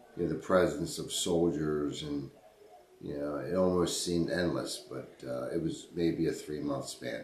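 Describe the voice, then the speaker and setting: A man with an American accent at a very deep, low pitch, fairly even intonation and a fairly slow pace, amid noticeable background noise and audible room echo. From Baltimore, Maryland (Highlandtown). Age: 50s. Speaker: interviewee recalling history. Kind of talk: oral history interview. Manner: halting, many repetitions.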